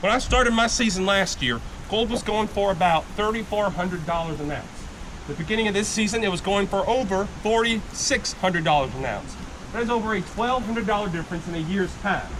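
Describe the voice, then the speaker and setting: A loud, high male voice at a fairly quick pace with ordinary pitch variation, amid audible room echo and noticeable background noise. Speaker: gold panning instructor at tourist camp. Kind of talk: live demonstration to tour group. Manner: loud, projecting.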